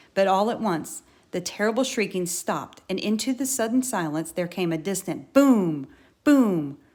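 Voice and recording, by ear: The intonation moves in a lively way. The reading is done aloud in a natural voice.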